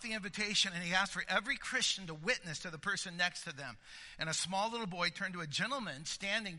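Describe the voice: The clip is plain reading aloud with ordinary pitch variation.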